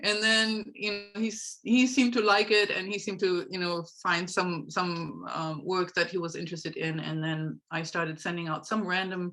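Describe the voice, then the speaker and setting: A woman with a German accent, medium pitch, ordinary pitch variation and a bright, sharp tone, at a moderate pace with hardly any pauses. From Germany. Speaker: horse trainer and life coach. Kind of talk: interview.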